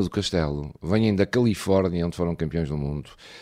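A man's dark, mellow voice at a fairly quick pace. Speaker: radio host. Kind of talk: radio chat show.

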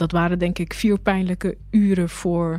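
This woman's voice is pitched fairly low. The tone is dark and mellow, and the intonation fairly even. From Rotterdam, Netherlands. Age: 30s. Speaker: journalist. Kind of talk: personal testimony. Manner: halting, with repetitions.

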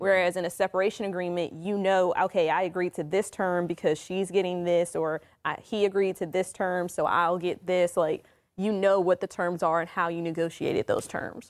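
A woman with an American accent talks at a moderate pace and a medium pitch, her intonation monotone and flat. The recording is very clean, with a silent background. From Maryland / Washington DC area. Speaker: attorney. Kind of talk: radio legal talk show discussion. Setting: studio.

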